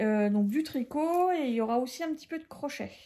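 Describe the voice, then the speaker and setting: A woman's dark, mellow voice with ordinary pitch variation, captured in a very clean recording over a silent background. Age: 40s. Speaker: podcast host, knitter. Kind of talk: casual chat. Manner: hesitant, many fillers.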